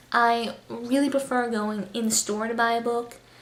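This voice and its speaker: Over noticeable background noise, a woman with a high pitch speaks at a fairly slow pace. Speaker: booktuber. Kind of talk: casual vlog monologue. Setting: new apartment, home. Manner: quiet, subdued.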